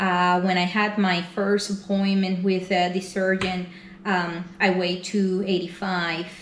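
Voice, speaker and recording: A woman speaks at a fairly slow pace in a Spanish accent, her pitch medium and her intonation monotone and flat. Her loudness stays very even, with audible room echo and noticeable background noise. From Venezuela. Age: 40s. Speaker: weight loss vlogger. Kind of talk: personal vlog. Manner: hesitant, many fillers.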